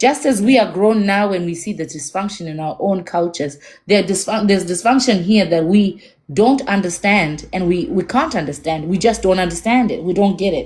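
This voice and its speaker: A woman speaks at a fairly quick pace with lively intonation. Her medium-pitched voice is somewhat breathy. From Zimbabwe. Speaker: podcast host. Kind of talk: casual chat.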